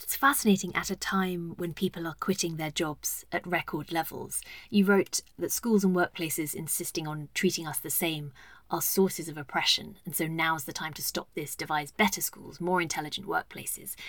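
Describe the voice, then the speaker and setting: A woman talks at a moderate pace in a normal speaking voice, pitched fairly low with ordinary pitch variation. Her loudness swings widely, and the recording is very clean with a silent background. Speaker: podcast host and journalist. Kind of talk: interview conversation.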